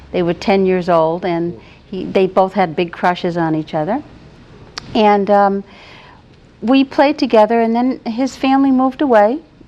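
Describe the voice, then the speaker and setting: A woman with an American accent, fairly high pitch, ordinary pitch variation and a moderate pace, over noticeable background noise. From New England, New Bedford, Massachusetts. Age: 60s. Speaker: retired teacher, guest. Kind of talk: interview, personal life story.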